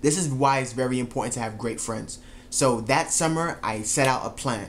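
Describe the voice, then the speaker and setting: A man talks at a moderate pace while light background noise stays audible. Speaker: track coach vlogger. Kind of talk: casual vlog storytelling. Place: home room. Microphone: camera far.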